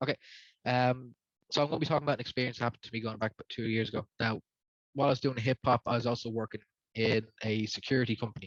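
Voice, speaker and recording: A man talks very fast in a Dublin accent, at medium pitch with fairly even intonation. The sound is dry and close, with no echo. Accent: Dublin Irish. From Ireland, Dublin. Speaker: rapper. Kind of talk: testimony.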